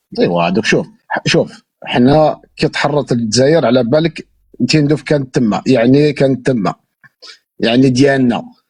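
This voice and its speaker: A man's somewhat breathy voice at a medium pitch, with very even loudness, a moderate pace and ordinary pitch variation. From Algeria, Moroccan border area. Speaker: interviewee, Algerian emigrant. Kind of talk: casual chat.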